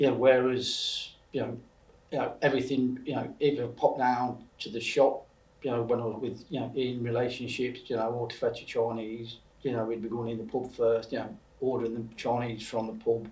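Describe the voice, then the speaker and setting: Over audible room echo, a man speaks with monotone, flat intonation. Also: medium pitch for a man, moderate pace. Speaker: recovering alcoholic sharing his story. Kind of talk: interview testimony. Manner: halting, many fillers and repetitions.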